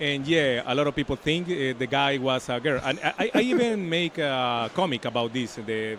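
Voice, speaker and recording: A man with a Spanish accent talks at a moderate pace and a fairly high pitch, with ordinary pitch variation. His loudness stays very even and he hardly pauses at all. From Colombia. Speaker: comic artist. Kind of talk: interview. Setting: comics convention. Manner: halting.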